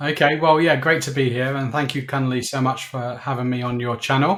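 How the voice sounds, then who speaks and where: A man's medium-pitched voice with a southern English accent. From southern England (Slough). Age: 60s. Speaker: business owner. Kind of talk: interview. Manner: hesitant, many fillers.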